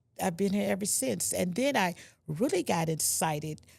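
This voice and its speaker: Woman's voice with vocal fry at a moderate pace. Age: 60s. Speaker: senior food bank client. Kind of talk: interview.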